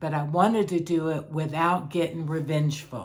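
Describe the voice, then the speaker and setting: A woman's very deep, low voice at a very slow pace, with audible room echo. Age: 60s. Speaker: life coach vlogger sharing personal experience. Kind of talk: personal testimony monologue. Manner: halting with repetitions.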